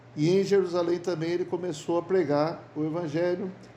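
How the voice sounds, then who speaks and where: A man speaks in a high pitch with a dark, mellow tone and fairly even intonation. His moderate pace carries audible room echo. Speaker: bible study teacher. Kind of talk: bible study lecture. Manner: halting, repeats words.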